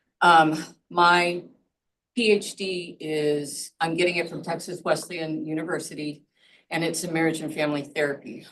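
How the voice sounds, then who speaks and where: A woman with an unremarkable speaking voice talks at a moderate pace, her pitch fairly low and her intonation fairly even. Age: 60s. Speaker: doctoral student and counselor. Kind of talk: self-introduction in video call.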